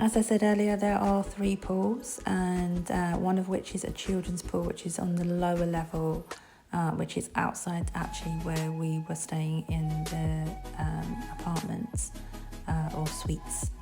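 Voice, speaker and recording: A woman with a British accent at a fairly slow pace, with music in the background. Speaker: travel vlogger / hotel reviewer. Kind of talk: casual travel review narration. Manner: hesitant, with filler sounds.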